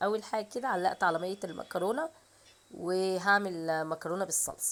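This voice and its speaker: In an Egyptian accent, a woman talks at a medium pitch with ordinary pitch variation. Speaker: home cooking vlogger. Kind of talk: cooking tutorial. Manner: casual, chatty.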